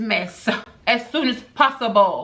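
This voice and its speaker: A woman's fairly high voice with fairly even intonation, over noticeable background noise. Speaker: beauty and lifestyle vlogger. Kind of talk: vlog unboxing with mic test. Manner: loud.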